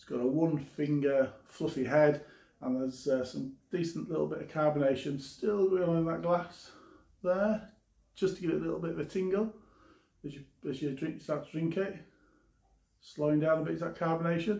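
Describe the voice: A man's fairly high-pitched voice with vocal fry, a slightly mellow tone and fairly even intonation, at a moderate pace amid audible room echo.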